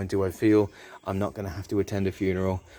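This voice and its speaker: A man with a British accent, a fairly low pitch and a dark, mellow tone, talking at a very fast pace on a very clean recording with a silent background. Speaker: car dealer presenter. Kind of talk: sales pitch. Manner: animated.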